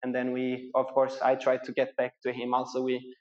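At a moderate pace, a man with a Portuguese accent speaks at a medium pitch. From Portugal. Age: 20s. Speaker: professional triathlete. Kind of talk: interview. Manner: halting.

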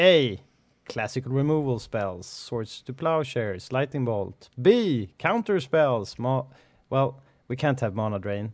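With a normal speaking voice, a man at a medium pitch talks at a fairly slow pace with lively intonation against a quiet background. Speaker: podcast host. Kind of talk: casual chat. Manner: laughs often.

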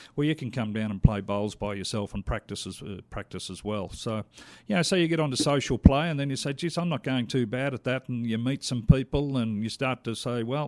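A man with an Australian accent at a medium pitch, fairly quick and with hardly any pauses, ordinary pitch variation, dry and close with no echo, on a very clean recording with a silent background. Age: 50s. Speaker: lawn bowls association official and player. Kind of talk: interview. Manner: casual, hesitant with fillers.

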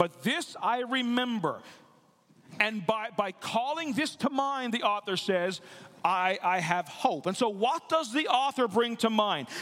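A high-pitched man's voice with lively intonation and very even loudness. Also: fairly slow pace. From Newfoundland and Labrador, Canada. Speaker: pastor. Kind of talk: sermon. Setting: church. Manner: halting, frequent word repetitions.

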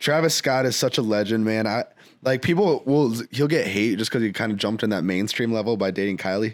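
Recorded very cleanly against a silent background, a man talks at a fairly quick pace in an unremarkable speaking voice, with medium pitch, ordinary pitch variation and very even loudness. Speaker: music producer and artist. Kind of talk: casual chat.

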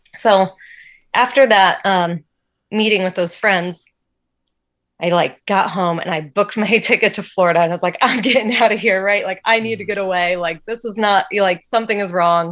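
A woman speaks at a moderate pace in an ordinary speaking voice with an American accent, her medium pitch following a fairly even intonation on a very clean recording with a silent background. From Indiana, US Midwest. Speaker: faith testimony guest. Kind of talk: testimony.

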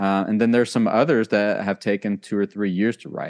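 The speaker has an American accent and talks at a fairly quick pace. The sound is dry and close with no echo, over a quiet background. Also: man. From Texas, after early childhood in Germany. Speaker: percussion professor and performer. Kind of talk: interview. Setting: video call. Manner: halting, many fillers.

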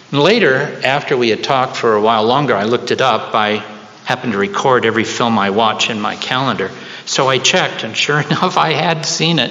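A man talks at a fairly quick pace, with medium pitch and ordinary pitch variation. Noticeable background noise sits behind him. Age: 70s. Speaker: preacher. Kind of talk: sermon. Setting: church.

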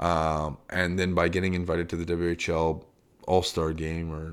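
A man's very deep, low voice in a Canadian accent, flat and monotone, on a very clean recording with a silent background. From Calgary, Canada. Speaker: retired hockey goaltender. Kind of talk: interview. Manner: halting, many fillers.

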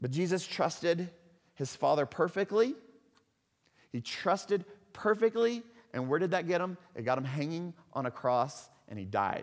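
With a slight Texan accent, a man talks at a moderate pace with long, frequent pauses. His pitch is high and swings very widely. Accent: slight Texan twang. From Texas. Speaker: pastor. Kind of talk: sermon. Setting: church.

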